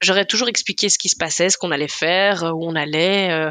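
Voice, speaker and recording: A woman's bright, sharp tone in a dry, close sound with no echo. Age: 30s. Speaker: food content creator and blogger. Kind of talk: casual chat.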